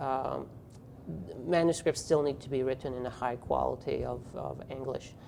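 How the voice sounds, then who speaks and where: A man with a French accent at a moderate pace. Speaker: physical therapy professor and journal editor. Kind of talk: interview. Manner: hesitant with fillers.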